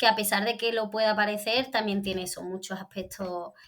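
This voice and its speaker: Fairly high in pitch, a woman speaks at a moderate pace. Her intonation stays fairly even. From Andalusia. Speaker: theatre director and actress. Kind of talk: interview. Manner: hesitant, many restarts.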